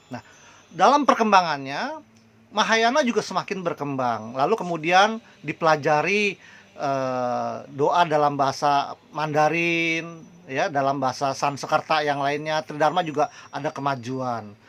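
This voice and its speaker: Using ordinary pitch variation, a man speaks at a fairly slow pace with a fairly high pitch. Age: 60s. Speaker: Buddhist preacher. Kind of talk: religious talk. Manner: hesitant, many fillers.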